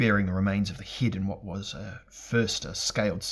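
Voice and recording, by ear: Fairly even intonation comes with reading aloud in a natural voice.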